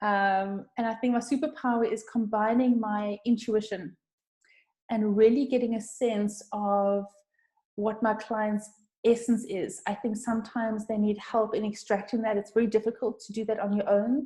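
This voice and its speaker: A somewhat breathy woman's voice, fairly high yet dark and mellow in tone, flat and monotone at a moderate pace. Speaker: brand designer. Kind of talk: webinar presentation. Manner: halting.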